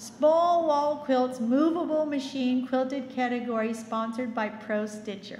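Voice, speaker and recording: A woman talks at a fairly slow pace in a high pitch, with ordinary pitch variation and hardly any pauses, over noticeable background noise. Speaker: awards emcee. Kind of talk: awards presentation.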